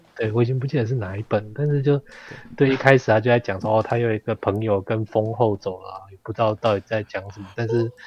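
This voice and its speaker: A somewhat breathy man with a medium pitch speaks at a very fast pace and a fairly even intonation, the sound dry and close with no echo. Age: 40s. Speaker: history content creator. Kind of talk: casual chat.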